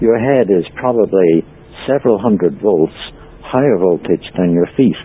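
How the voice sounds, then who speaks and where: With noticeable background noise behind him, a man of fairly low pitch talks at a moderate pace, his intonation lively and his loudness very even. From Ireland. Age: 60s. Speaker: free energy researcher and author. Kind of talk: interview. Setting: podcast interview. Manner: hesitant, frequent ums.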